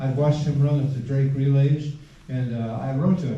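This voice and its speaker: A man with a fairly high voice talks at a fairly quick pace in a flat monotone, with noticeable background noise and audible room echo. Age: 80s+. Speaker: retired cross country coach. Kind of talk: reunion speech. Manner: halting.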